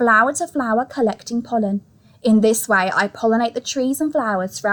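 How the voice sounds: Pitch rises and falls in an ordinary way. The delivery is a natural reading voice.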